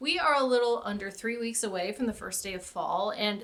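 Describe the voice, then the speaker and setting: This woman has a normal speaking voice, fairly high in pitch, with ordinary pitch variation and a fairly quick pace. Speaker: crafter. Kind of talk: casual talk to camera.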